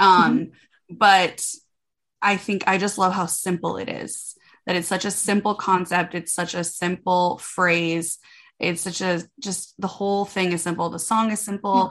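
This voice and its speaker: A woman with a plain, everyday voice and an American accent speaks at a moderate pace and medium pitch, her loudness swinging widely on a very clean recording with a silent background. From US Midwest, Minnesota. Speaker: country music singer. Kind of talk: interview.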